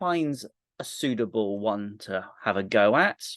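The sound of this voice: Over a quiet background comes an unforced reading voice with lively intonation.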